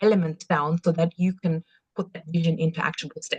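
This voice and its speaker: A woman with an Austrian accent, somewhat breathy and fairly low in pitch, with monotone, flat intonation and a dry, close sound with no echo. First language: German. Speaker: business coach. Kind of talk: online workshop presentation. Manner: halting, many fillers and restarts.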